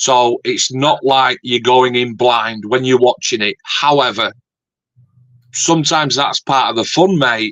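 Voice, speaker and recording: A man with a Yorkshire accent, at a fairly slow pace, with ordinary pitch variation. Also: medium pitch for a man. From Yorkshire, northern England. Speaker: scale modeler and YouTuber. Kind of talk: casual chat.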